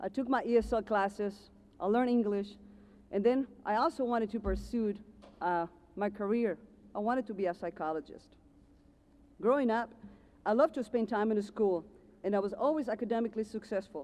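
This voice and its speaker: Fairly high, dark and mellow voice of a woman with an Ecuadorian accent, at a fairly quick pace with long, frequent pauses and ordinary pitch variation. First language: Spanish. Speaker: commencement speaker, car dealership manager. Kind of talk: commencement speech.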